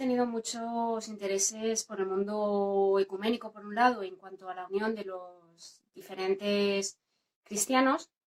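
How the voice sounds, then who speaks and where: A woman talks with fairly even intonation. She has an ordinary speaking voice. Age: 40s. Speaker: LGTB believer giving testimony. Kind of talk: testimony.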